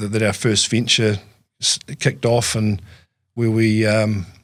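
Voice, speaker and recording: A man talks in a New Zealand accent at a medium pitch. His pace is fairly slow. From New Zealand, lower South Island. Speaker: farm business manager. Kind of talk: interview. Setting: studio. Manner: halting, many fillers and repeats.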